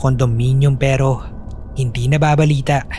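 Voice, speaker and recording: Noticeable background noise behind a man's moderately paced speech and fairly even intonation. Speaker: narrator and voice actor of horror stories. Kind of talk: horror story narration, with submitted stories read aloud. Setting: home studio recording.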